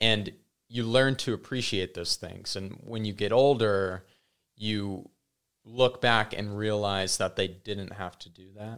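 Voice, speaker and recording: A man with an ordinary speaking voice talks at a fairly slow pace in a fairly low pitch, with fairly even intonation. His loudness swings widely, on a very clean recording with a silent background. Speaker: podcast guest. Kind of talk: casual chat.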